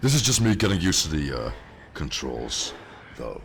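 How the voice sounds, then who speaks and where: A man's very deep, low voice, animated in tone, with very wide pitch swings and audible room echo. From Netherlands. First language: Dutch. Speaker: gaming streamer. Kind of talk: live gameplay commentary. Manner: casual, animated.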